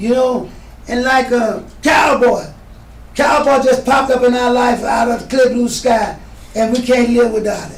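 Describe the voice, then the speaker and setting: The voice is monotone and flat, with audible room echo and noticeable background noise. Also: man, extremely high pitch for a man, moderate pace. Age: old. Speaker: veteran entertainer. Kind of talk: casual interview.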